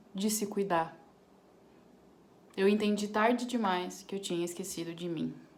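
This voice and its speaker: Fairly slow talking from a woman with a medium pitch. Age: 20s. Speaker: crochet crafter. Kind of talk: casual talk to camera.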